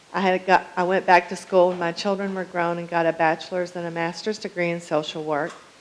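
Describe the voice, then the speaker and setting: Fairly quick pace over noticeable background noise. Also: woman. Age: 60s. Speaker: public commenter at city council. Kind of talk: prepared public comment. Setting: city council meeting.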